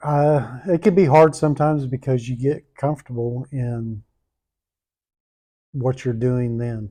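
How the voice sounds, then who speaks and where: A man with a Southern US accent speaks at a medium pitch and a fairly slow pace, his dark, mellow tone broken by long, frequent pauses, with ordinary pitch variation against a quiet background. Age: 60s. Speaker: pastor. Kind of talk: interview.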